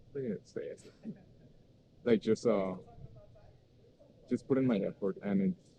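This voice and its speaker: A man with a Spanish accent and a dark, mellow tone speaks at a medium pitch and moderate pace, with ordinary pitch variation and long, frequent pauses, in a dry, close sound with no echo. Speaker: university student. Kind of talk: casual conversational interview. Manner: halting, many fillers.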